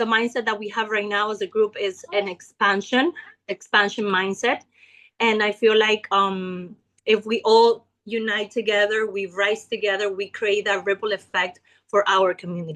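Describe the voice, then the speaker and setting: A moderately paced voice with a Spanish accent and fairly even intonation. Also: woman, medium pitch for a woman. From Ecuador. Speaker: network marketing leader. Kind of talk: business pitch testimony. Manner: hesitant with fillers.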